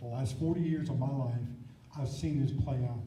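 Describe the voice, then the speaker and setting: A man with a fairly high pitch and ordinary pitch variation is heard amid noticeable background noise and audible room echo. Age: 60s. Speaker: congressional primary candidate. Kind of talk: political debate.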